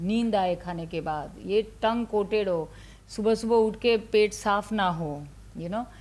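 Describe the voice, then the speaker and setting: A woman's voice at a medium pitch sounds somewhat breathy. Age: 60s. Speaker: ayurveda doctor. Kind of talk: interview.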